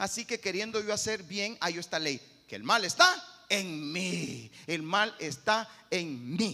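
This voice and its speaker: Through noticeable background noise, a man with a high pitch speaks at a very slow pace with lively intonation. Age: 50s. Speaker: pastor. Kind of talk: sermon.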